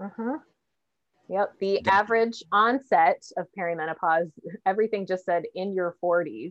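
With a normal speaking voice, a woman speaks at a moderate pace using ordinary pitch variation. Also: medium pitch for a woman, dry, close sound with no echo. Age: 40s. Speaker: podcast host. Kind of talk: casual chat.

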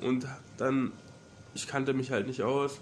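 This is a man talking. His pitch sits fairly high. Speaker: university student. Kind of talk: casual chat.

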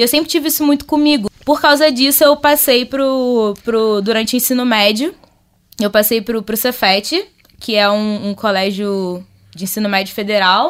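With a normal speaking voice, a woman talks at a moderate pace in a fairly high pitch, her intonation lively. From Rio de Janeiro, North Zone. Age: 20s. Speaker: social entrepreneur. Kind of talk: casual chat.

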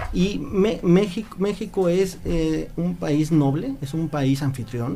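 A man speaks with a Yucatán accent. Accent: Mexican Spanish, Yucatán. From Mexico, Mérida (Yucatán). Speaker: visiting friend. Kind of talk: casual interview.

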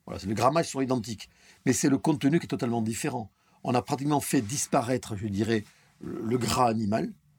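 Talking at a very fast pace, a man has a medium pitch and a somewhat breathy sound. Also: ordinary pitch variation. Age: 50s. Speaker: chef. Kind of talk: casual interview. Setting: near restaurant kitchens.

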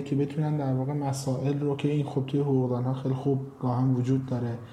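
A man speaks with a fairly high pitch and monotone, flat intonation. Noticeable background noise and audible room echo are present. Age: 20s. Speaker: startup founder and CEO. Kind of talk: interview.

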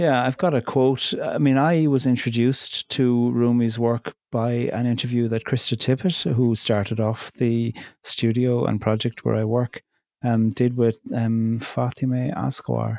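Speaking in a Cork accent, a man keeps a medium pitch, fairly even intonation and very even loudness at a fairly slow pace over a quiet background. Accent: Cork Irish. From Ireland, County Cork. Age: 40s. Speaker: poet and theologian. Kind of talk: interview.

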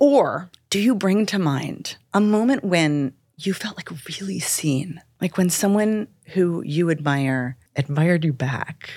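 An ordinary speaking voice from a woman, fairly low in pitch with ordinary pitch variation, on a very clean recording with a silent background. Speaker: dialect coach and author. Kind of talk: interview, conversational.

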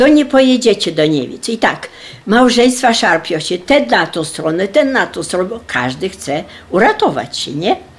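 A woman speaks at a fairly high pitch and a moderate pace. Her pitch swings very widely. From Poland. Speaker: wartime deportation survivor. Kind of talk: testimony.

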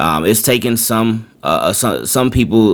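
There is noticeable background noise behind a man talking at a moderate pace. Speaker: full-time podcaster and content creator. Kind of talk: casual podcast talk. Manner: halting, many fillers and repetitions.

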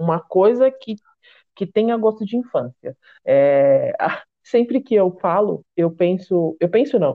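A woman's normal speaking voice at medium pitch, lively intonation at a fairly slow pace. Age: 30s. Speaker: podcast host and confectioner. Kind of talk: casual chat.

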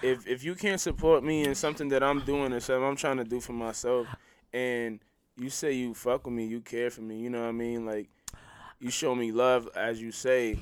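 In a very clean recording with a silent background, a man with an ordinary speaking voice talks at a fairly quick pace, his pitch medium with ordinary variation. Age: 50s. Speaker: podcast co-host. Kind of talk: casual chat.

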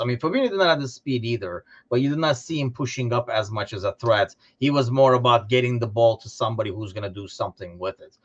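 A man at a medium pitch talks at a very fast pace, somewhat breathy, with ordinary pitch variation and big swings in loudness, heard dry and close with no echo against a quiet background. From Turkey. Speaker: podcast host. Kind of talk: casual chat about football. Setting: Chicago, recorded remotely.

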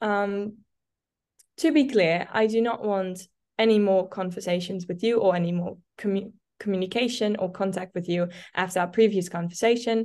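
A woman with a Dutch accent against a quiet background. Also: medium pitch for a woman, fairly even intonation, moderate pace. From Netherlands. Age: 20s. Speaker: content creator. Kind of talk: casual chat. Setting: video call.

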